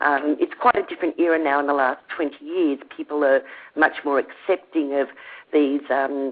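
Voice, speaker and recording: A woman with an Australian accent. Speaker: teacher and esoteric researcher. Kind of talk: podcast interview.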